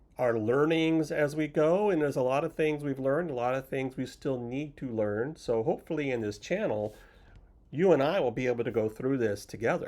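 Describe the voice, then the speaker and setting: A man talks at a fairly quick pace in a dark, mellow tone with ordinary pitch variation. The recording is very clean, with a silent background. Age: 60s. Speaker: retirement vlogger, software consultant. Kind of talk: casual vlog monologue. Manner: casual, with fillers.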